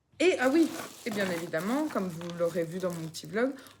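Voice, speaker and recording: A woman speaks at a moderate pace. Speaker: vlogger, mother. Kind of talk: casual vlog chat. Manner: halting, many fillers; speaking very quietly.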